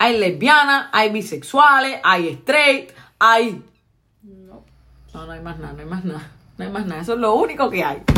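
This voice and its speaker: Speaking at a fairly slow pace in a Puerto Rican accent, a woman with a medium pitch, a bright, sharp tone and vocal fry shows very wide pitch swings and big swings in loudness. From Puerto Rico. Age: 20s. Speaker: podcast host. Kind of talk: casual chat.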